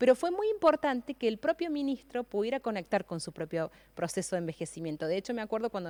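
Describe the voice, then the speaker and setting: On a very clean recording with a silent background, speech races at a very fast pace with very wide pitch swings. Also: woman. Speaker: gerontology specialist and government advisor. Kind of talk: radio interview. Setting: radio auditorium studio. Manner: hesitant, many fillers.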